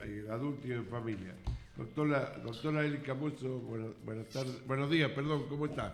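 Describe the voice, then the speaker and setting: Over music in the background and with audible room echo, a man at medium pitch speaks with lively intonation. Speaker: radio host. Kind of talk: radio interview.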